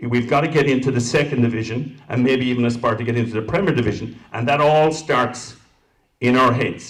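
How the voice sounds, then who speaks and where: With an Irish accent, a man talks at a fairly quick pace in a medium pitch. His voice is somewhat breathy, and his intonation stays fairly even. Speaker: council candidate. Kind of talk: candidate forum answers.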